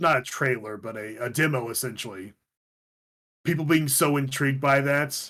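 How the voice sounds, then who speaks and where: The man's bright, sharp voice sits at a fairly high pitch with ordinary pitch variation. He keeps a moderate pace. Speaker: twitch streamer and podcast host. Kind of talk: casual chat.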